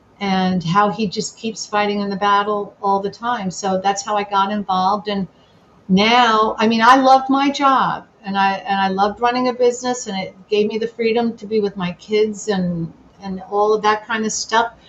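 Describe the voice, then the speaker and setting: A woman with an American accent speaks at a moderate pace and a medium pitch, her intonation fairly even. Noticeable background noise is present. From New Jersey, Sussex County. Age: 60s. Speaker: political candidate. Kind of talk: interview. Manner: halting.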